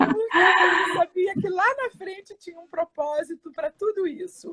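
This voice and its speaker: A raised, projected voice at a fairly slow pace, dry and close with no echo. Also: woman, extremely high pitch for a woman, ordinary pitch variation, big swings in loudness. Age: 60s. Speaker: psychologist, cancer survivor. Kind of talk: testimony. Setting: live video stream.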